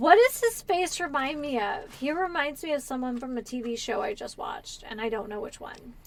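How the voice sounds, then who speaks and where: A high-pitched woman speaks with hardly any pauses, her pitch swinging very widely and her loudness swinging a lot. Noticeable background noise is present. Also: moderate pace. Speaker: gaming streamer. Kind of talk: casual live-stream chat while gaming.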